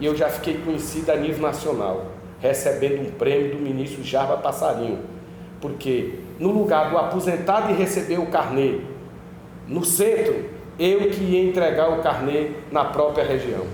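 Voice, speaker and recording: Lively intonation marks this man's fairly high-pitched speech at a moderate pace, with audible room echo and noticeable background noise. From Brazil, Piauí (Teresina). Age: 50s. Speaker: politician. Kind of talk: interview. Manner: blunt, outspoken.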